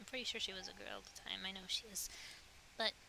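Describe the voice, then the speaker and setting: A woman's voice amid noticeable background noise. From US. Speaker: streamer. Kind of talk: casual chat. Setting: VR chat world. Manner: hesitant with many fillers.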